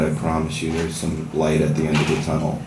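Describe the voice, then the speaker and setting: Amid noticeable background noise, a man with an American accent talks fairly quickly in a very deep, low pitch. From Southern US. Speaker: writer. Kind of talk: casual introduction at open mic. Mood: slightly nervous, warm. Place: stage.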